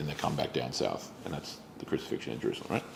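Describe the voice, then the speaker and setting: The speaker is male. His accent is Australian. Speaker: pastor. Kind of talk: bible study teaching. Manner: casual with many fillers.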